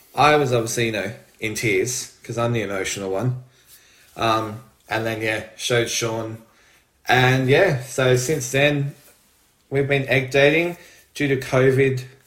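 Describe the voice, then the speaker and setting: A man with an Australian accent speaks with ordinary pitch variation, taking long, frequent pauses, and there is audible room echo. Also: medium pitch for a man, fairly slow pace. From Australia, Melbourne. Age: 40s. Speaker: retail manager, intended parent. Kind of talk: casual storytelling.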